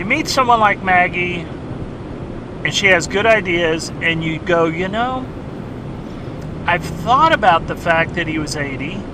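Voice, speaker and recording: Amid noticeable background noise and audible room echo, a man with a high pitch speaks at a moderate pace with ordinary pitch variation. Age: 60s. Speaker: treasure hunter vlogger. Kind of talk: casual vlog monologue. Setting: in a car. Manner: halting, self-correcting.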